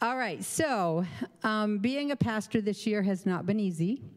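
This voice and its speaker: Her voice is a plain, everyday voice at a medium pitch, with lively intonation. The woman speaks at a fairly slow pace. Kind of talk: church announcement.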